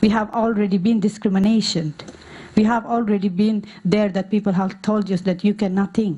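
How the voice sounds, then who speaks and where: A woman with a non-native accent speaks in monotone, flat intonation. Noticeable background noise sits behind her. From Norway, born in Afghanistan. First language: not English. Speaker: refugee women's activist. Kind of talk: conference talk. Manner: halting, many fillers.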